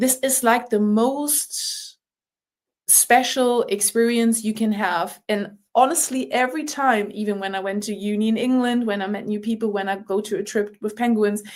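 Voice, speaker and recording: A woman with a German accent, fairly high in pitch, at a moderate pace, on a very clean recording with a silent background. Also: ordinary pitch variation. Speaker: rugby player. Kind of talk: podcast interview. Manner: animated.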